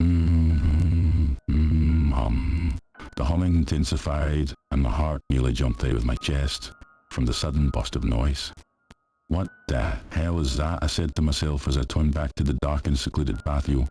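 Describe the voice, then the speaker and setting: A man with a Scottish accent speaks in a very deep, low voice at a very even loudness. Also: ordinary pitch variation, moderate pace. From Scotland. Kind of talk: horror story narration.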